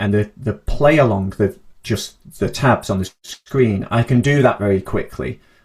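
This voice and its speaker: The voice sounds somewhat breathy, and its pitch varies in an ordinary way. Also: man. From northern England, Manchester and Cheshire. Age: 30s. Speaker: harmonica teacher. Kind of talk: interview.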